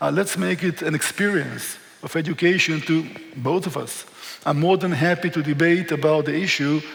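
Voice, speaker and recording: There is noticeable background noise behind this man. He speaks with an Israeli accent and fairly even intonation. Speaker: historian and tour guide. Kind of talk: lecture.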